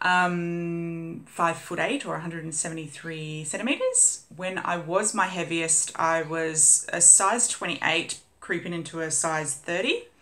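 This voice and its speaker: The pace is fairly slow, with a fairly even intonation. The speaker has an Australian accent. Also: woman, fairly low pitch for a woman. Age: 30s. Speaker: vlogger. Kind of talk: casual vlog update. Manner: chatty, many fillers.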